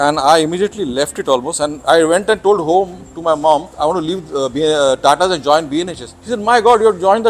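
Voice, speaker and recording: A man with a Marathi accent talks at a very fast pace with lively intonation, and noticeable background noise runs underneath. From Mumbai, India. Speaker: naturalist. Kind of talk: interview. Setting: on camera. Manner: halting.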